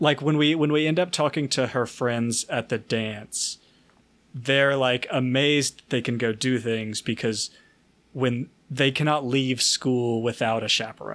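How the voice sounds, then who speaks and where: In an American accent, a man talks at a fairly slow pace with medium pitch and a plain, everyday voice. His intonation is fairly even and his loudness stays very even. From US South. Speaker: podcast co-host. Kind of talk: casual chat.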